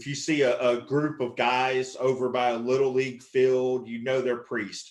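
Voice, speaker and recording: A man with a Southern US accent, moderate pace and monotone, flat intonation. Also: medium pitch for a man. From Texas. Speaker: stand-up comedian. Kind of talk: stand-up.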